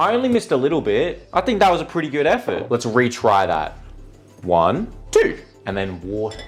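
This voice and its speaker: Music plays behind a man with an Australian accent. His tone is animated and his pace fairly quick. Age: 20s. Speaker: content creator. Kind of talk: casual chat.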